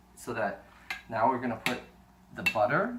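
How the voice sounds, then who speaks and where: Medium-pitched male speech at a moderate pace, with audible room echo and noticeable background noise. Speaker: home cooking video host. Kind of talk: cooking tutorial. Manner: animated.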